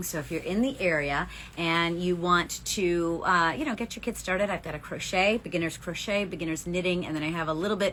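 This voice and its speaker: This woman has a plain, everyday voice, pitched fairly low and moving at a fairly quick pace. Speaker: yarn shop owner and knitting podcast co-host. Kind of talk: casual chat.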